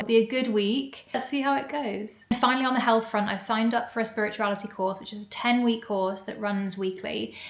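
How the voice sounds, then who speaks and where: With an English accent, a woman talks at a fairly quick pace and a fairly high pitch over noticeable background noise. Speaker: vlogger. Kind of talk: casual vlog talk to camera. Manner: fast when excited.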